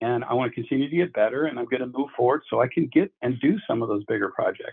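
A man's medium-pitched voice with lively intonation and a fairly quick pace. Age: 60s. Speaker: pool designer and builder. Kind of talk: interview. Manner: halting.

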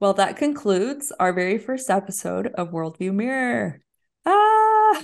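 A woman at a fairly slow pace with an American accent, over a quiet background. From Houston, Texas (Mexican-born). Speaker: podcast co-host. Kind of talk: casual chat.

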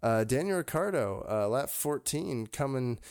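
A plain, everyday voice from a man with lively intonation at a moderate pace, recorded very cleanly with a silent background. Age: 20s. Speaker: motorsport podcast co-host. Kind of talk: casual chat.

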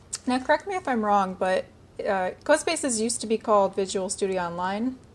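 An ordinary speaking voice moves at a fairly quick pace with lively intonation. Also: woman. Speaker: podcast host. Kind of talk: interview.

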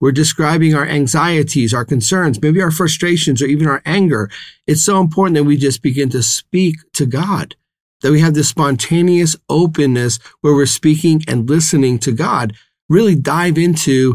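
A man with an ordinary speaking voice speaks at a moderate pace and a fairly high pitch, with ordinary pitch variation and very even loudness. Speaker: priest. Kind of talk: fervent prayer, led aloud in a devotional tone. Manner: warm, earnest, pastoral.

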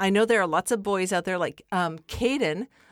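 In a very clean recording with a silent background and a dry, close sound with no echo, a woman speaks in an unremarkable speaking voice at medium pitch with lively intonation. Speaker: podcast host. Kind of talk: casual chat. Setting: home podcast studio.

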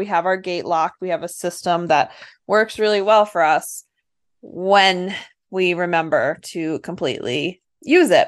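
A woman speaks at a fairly slow pace in a medium pitch, with an unremarkable speaking voice. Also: quiet background. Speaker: podcast co-host, dairy goat breeder. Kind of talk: casual chat.

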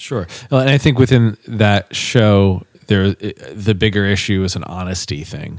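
A man with a plain, everyday voice, fairly low in pitch, with ordinary pitch variation at a moderate pace. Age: 30s. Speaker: podcast co-host, business owner and former musician. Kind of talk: casual chat.

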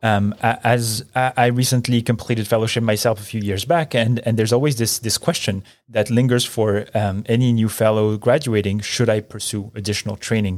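Using a plain, everyday voice, a man talks at a fairly quick pace and medium pitch with fairly even intonation and hardly any pauses, on a very clean recording with a silent background. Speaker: podcast host and neonatal physician. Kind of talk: interview. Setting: studio.

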